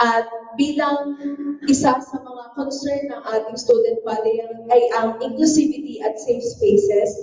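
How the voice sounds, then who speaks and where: Her loudness swinging in big jumps, a woman talks at a moderate pace in a high pitch with ordinary pitch variation, while noticeable background noise plays behind her. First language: Filipino. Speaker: student government candidate. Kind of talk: debate answer. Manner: formal.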